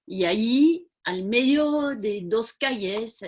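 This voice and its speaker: A woman with a French accent talks with lively intonation. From France. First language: French (speaking Spanish). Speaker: community project founder. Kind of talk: video call talk. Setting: video call.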